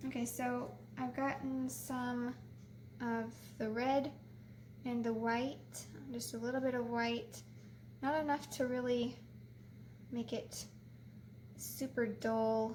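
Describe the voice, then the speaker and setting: Soft-spoken and very slow, the voice leaves long, frequent pauses, with audible room echo and noticeable background noise. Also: woman. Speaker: painting tutorial host. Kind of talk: tutorial.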